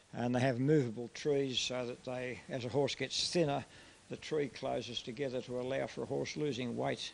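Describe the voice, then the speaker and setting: This speaker has an Australian accent and talks at a moderate pace. The pitch varies in an ordinary way. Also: man. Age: 70s. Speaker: light horse re-enactment troop leader. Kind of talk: interview.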